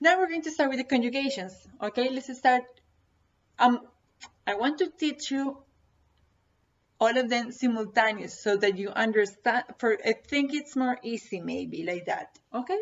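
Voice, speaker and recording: Pausing long and often, a woman with a Spanish accent speaks at a high pitch with lively intonation. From Colombia. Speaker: Spanish teacher. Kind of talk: tutorial. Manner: slow and repetitive, code-switching.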